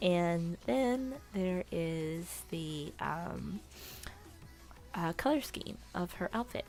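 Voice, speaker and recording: Music plays in the background as a woman speaks at a very slow pace with long, frequent pauses. Her fairly low pitch carries lively intonation. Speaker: digital artist. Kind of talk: casual voiceover commentary.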